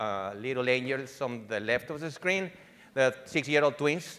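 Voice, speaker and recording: A man speaks with a slight Venezuelan accent and a bright, sharp tone. The recording is very clean, with a silent background. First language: Spanish. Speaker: digital marketing executive. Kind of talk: conference presentation. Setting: conference stage with audience. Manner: halting, many fillers and restarts.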